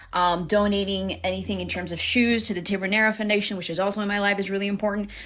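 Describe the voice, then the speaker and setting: A woman with an American accent, very fast and monotone with flat intonation, amid noticeable background noise. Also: medium pitch for a woman. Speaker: livestream host and activist. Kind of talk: livestream tutorial. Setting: live stream. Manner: fast talker.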